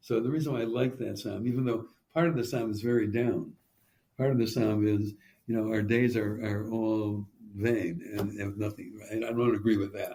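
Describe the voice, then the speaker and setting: This man's voice sits at a medium pitch, with a dark, mellow tone and a somewhat breathy quality. His pace is moderate. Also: fairly even intonation. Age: 80s+. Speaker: rabbi and professor. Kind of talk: interview conversation. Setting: podcast. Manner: halting, many restarts and fillers.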